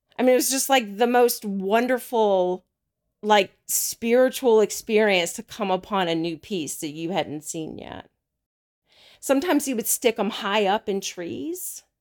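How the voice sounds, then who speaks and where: In a very clean recording with a silent background, a woman with an American accent speaks at a fairly slow pace and fairly high pitch, her loudness swinging widely. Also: lively intonation. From US South. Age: 40s. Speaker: therapist. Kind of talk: personal storytelling interview. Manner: halting.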